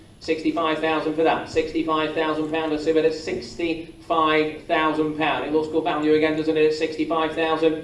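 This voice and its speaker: Fairly high pitch from a man in a monotone, flat delivery, at a fairly quick pace with hardly any pauses, against noticeable background noise. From England. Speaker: auctioneer. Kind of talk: property auction calling. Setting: live auction room.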